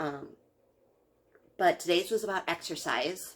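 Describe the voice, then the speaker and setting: A woman speaks quietly at a fairly slow pace. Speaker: video blogger. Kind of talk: casual vlog reaction. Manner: hesitant with many fillers.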